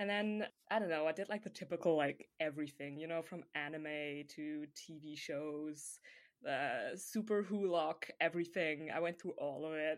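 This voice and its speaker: A very deep, low-voiced woman talks at a moderate speed with ordinary pitch variation, recorded very cleanly against a silent background. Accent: slight European. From Germany. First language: German. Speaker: podcast co-host, hockey fan. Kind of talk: casual chat.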